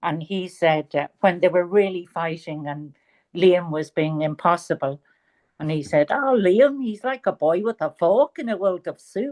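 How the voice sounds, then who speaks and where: A woman speaks with a Dublin accent, her fairly low voice lively in intonation and fairly slow in pace. The sound is dry and close with no echo, over a quiet background. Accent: Irish, Dublin. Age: 70s. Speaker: author. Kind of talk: interview.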